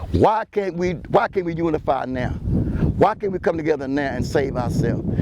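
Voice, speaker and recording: Noticeable background noise sits under a man's fairly high, animated voice as he talks at a fairly quick pace. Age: 70s. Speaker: local community commentator. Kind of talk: outdoor vlog monologue. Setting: outdoors by the water at a port. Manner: animated, repetitive stammering.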